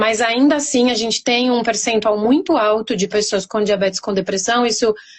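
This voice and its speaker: Speaking with a São Paulo accent, a woman uses a fairly high pitch. Her intonation is fairly even and her pace moderate. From Brazil, São Paulo. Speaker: pharmacist. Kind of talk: interview.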